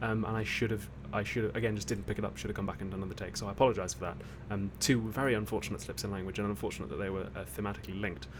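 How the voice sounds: A man's fairly low voice at a very fast pace, with fairly even intonation.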